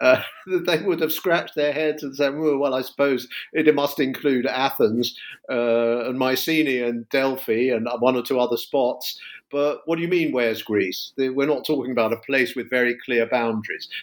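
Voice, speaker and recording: Someone with a London accent talks at a moderate pace, with ordinary pitch variation. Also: man, medium pitch for a man. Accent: southern English (London). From London, England. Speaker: history professor. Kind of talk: interview about his book. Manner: hesitant, many filler words.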